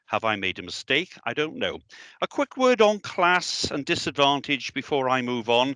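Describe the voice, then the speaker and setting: A man with a Welsh accent speaks at a moderate pace in a bright, sharp tone, his pitch swinging very widely. The recording is very clean, with a silent background. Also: fairly high pitch for a man, dry, close sound with no echo. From South Wales, the Valleys. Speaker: education director. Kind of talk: speech.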